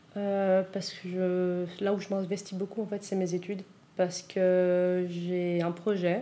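A woman talks at a very slow pace in a medium-pitched voice. Her tone is dark and mellow, her intonation monotone and flat. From Switzerland (Vaud), South American family. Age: 20s. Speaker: youth group leader. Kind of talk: interview testimony.

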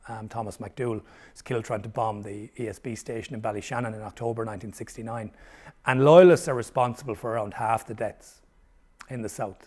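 This man has a Limerick accent and a medium pitch, talking at a fairly quick pace with ordinary pitch variation and big swings in loudness. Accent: Irish (Limerick). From Ireland, Limerick. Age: 50s. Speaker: historian. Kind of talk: interview.

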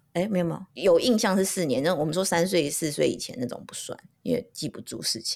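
At a fairly quick pace, a woman with a fairly low pitch and vocal fry speaks with very wide pitch swings. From Taiwan (Taipei). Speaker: podcast co-host, mother. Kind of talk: casual chat.

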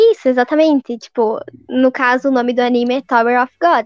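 Speaking at a fairly slow pace, a woman has a high pitch, recorded with a dry, close sound and no echo. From southern Paraná, Brazil. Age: 20s. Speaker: civil servant. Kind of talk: casual chat.

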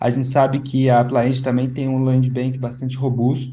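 A man's medium-pitched, somewhat breathy voice with a dark, mellow tone and audible room echo. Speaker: podcast host, head of education. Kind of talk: interview and news commentary podcast.

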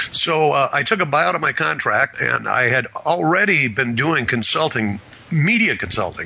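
Moderate-paced speech from a man with an American accent, noticeable background noise behind it. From Wisconsin, US Midwest. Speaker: media and marketing consultant. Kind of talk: interview.

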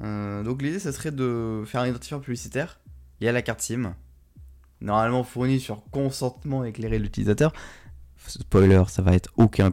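A man talks at a moderate pace with medium pitch and ordinary pitch variation. His tone is dark and mellow. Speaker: tech podcast host. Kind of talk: casual news roundup. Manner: hesitant, many fillers.

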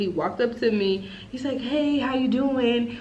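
Noticeable background noise accompanies a woman with a high pitch. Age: 20s. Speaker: podcast co-host. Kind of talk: casual chat, storytime.

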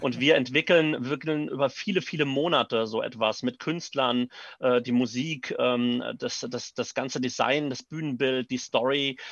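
Against a quiet background, a man speaks at a moderate pace and medium pitch with ordinary pitch variation, in a dry, close sound with no echo. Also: hardly any pauses. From Neuwied, Rhineland-Palatinate, Germany. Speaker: actor and theatre director. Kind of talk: interview. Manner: hesitant with fillers.

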